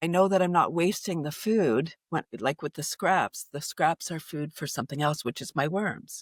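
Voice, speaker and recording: With a Canadian accent, a woman speaks at a moderate pace with hardly any pauses and ordinary pitch variation, in a dry, close sound with no echo on a very clean recording with a silent background. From Canada, Toronto. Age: 60s. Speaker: environmentalist and laughter yoga leader. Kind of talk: podcast interview. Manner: halting, many restarts.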